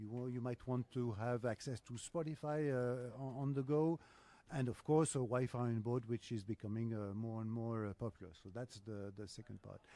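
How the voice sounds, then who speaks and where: In a French accent, a man speaks at a moderate pace and medium pitch. His tone is dark and mellow, with ordinary pitch variation. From France. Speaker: business development executive. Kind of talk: podcast interview. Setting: live podcast at trade show. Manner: hesitant, many filler sounds.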